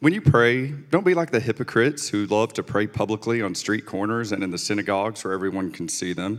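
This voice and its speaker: An ordinary speaking voice with lively intonation. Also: man. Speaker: scripture reader. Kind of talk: scripture reading.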